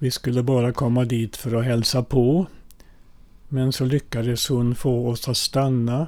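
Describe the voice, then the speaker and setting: Speaking at a fairly slow pace with a Finnish accent, a man uses a dark, mellow tone, a medium pitch and fairly even intonation. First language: Finnish (speaking Swedish). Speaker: priest. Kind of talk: personal life story.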